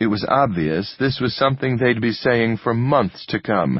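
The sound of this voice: Unforced voice for reading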